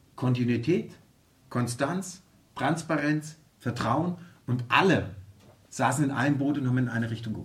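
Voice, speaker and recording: A man speaks at a medium pitch and a moderate pace, with ordinary pitch variation. His voice is somewhat breathy, and he leaves long, frequent pauses. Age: 50s. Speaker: football club executive. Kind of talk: interview. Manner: halting, many fillers.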